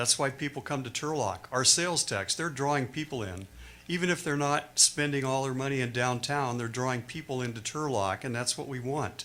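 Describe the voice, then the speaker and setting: On a very clean recording with a silent background, a man with an American accent speaks at a fairly quick pace. His medium-pitched voice has a bright, sharp tone and ordinary pitch variation. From California. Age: 70s. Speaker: public commenter. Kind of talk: public comment at council meeting. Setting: city council meeting.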